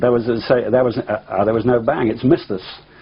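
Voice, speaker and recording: A man with an English accent at a fairly quick pace and medium pitch, amid noticeable background noise. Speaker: pilot. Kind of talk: interview testimony. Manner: halting, many fillers.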